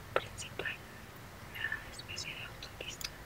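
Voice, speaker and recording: Loud background noise behind a female speaker. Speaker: visual artist. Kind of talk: ASMR drawing tutorial. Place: home room.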